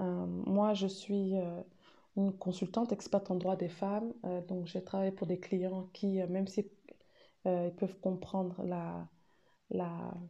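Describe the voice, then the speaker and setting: Very slowly, a woman speaks at a medium pitch in a dark, mellow tone, with monotone, flat intonation. Her pauses are long and frequent. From Cameroon. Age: 30s. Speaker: women's rights consultant and mother. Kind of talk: recorded testimony.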